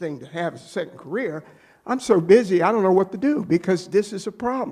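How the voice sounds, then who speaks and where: A man with an American accent, high-pitched, at a very fast pace with lively intonation. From Maryland, US (Annapolis). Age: 70s. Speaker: business owner presenting to town council. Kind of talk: public meeting presentation. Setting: town council meeting. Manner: halting, repeats words.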